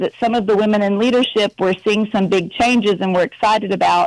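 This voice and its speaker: Recorded with a dry, close sound and no echo, a woman talks at a fairly high pitch and a fairly quick pace. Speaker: prison reform advocate. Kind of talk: live radio interview. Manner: casual, energetic.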